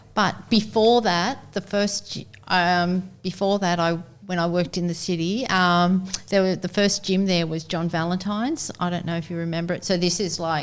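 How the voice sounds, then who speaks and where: With an Australian accent, a woman talks at a moderate pace in a fairly low pitch, her intonation fairly even. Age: 60s. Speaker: long-time gym member. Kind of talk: casual chat.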